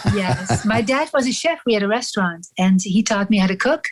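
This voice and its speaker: A somewhat breathy woman with a strong European accent speaks at a medium pitch in a very clean recording with a silent background. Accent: heavy European accent tonight. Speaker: actress and mask maker. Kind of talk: casual interview chat.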